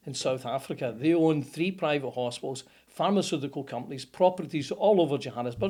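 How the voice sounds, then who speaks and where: A dark, mellow voice at a fairly quick pace and with ordinary pitch variation comes through a very clean recording with a silent background. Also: man, fairly high pitch for a man. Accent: Scottish. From Scotland, Motherwell. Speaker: plumber, business owner. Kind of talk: interview answer. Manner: casual, storytelling.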